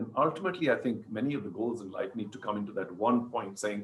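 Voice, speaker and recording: A man with a medium pitch and a somewhat breathy voice talks at a very fast pace. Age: 60s. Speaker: sports broadcaster and league founder. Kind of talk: interview. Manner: casual.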